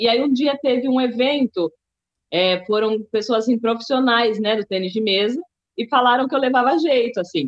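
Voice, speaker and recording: Heard in a dry, close sound with no echo, a woman with a São Paulo accent speaks in a fairly high voice. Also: ordinary pitch variation, moderate pace, very even loudness. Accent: Paulistano Brazilian Portuguese. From Brazil, São Paulo city. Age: 30s. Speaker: table tennis athlete, musician and writer. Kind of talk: interview.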